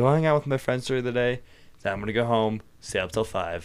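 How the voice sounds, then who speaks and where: An ordinary speaking voice at a fairly quick pace with ordinary pitch variation. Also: man. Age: 18, just turned adult. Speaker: podcast guest, recent high school graduate. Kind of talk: casual chat.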